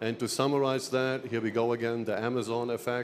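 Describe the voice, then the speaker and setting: Here a man speaks with a German accent. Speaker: sales executive. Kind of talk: trade show seminar presentation.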